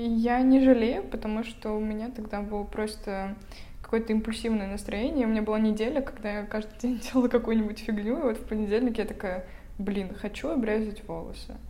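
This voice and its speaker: A woman speaks fairly quickly at a fairly high pitch with ordinary pitch variation. Noticeable background noise and audible room echo fill the recording. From Russia, Vologda. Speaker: podcast co-host, university student. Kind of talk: casual chat.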